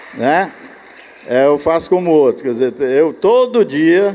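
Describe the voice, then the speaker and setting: Noticeable background noise sits behind a man's voice. He speaks at a high pitch and a fairly slow pace. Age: 80s+. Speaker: church elder. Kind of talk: conference talk conversation.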